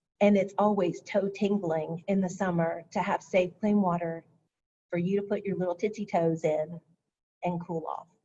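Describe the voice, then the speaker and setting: A woman speaks in a flat monotone at medium pitch and a moderate pace. Her tone is dark and mellow, and somewhat breathy. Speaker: county stormwater program presenter. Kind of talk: webinar presentation.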